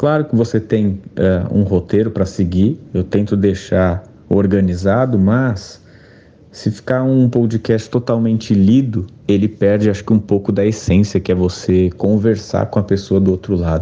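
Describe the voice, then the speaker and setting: A man's dark, mellow voice at a fairly slow pace, with fairly even intonation. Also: fairly low pitch for a man, very even loudness. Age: 20s. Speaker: journalist and podcaster. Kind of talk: interview.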